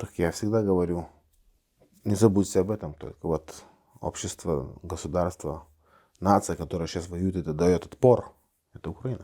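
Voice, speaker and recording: A man's very deep, low voice with a dark, mellow tone, a Lithuanian accent, ordinary pitch variation, a moderate pace and long, frequent pauses, on a very clean recording with a silent background. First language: Lithuanian (speaking Russian). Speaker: politician. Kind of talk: interview. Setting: studio. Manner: halting.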